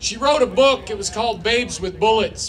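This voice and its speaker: A man speaks with crowd noise behind him. The room echo is audible. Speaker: event emcee. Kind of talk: speaker introduction.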